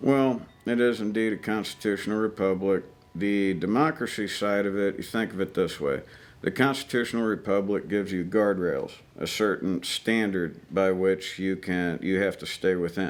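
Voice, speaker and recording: The speaker has an Ozarks accent. The pace is moderate and the pitch varies in an ordinary way. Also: man, fairly low pitch for a man. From US, Ozarks (Missouri). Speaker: army veteran. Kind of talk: interview conversation. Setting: outdoor shooting range.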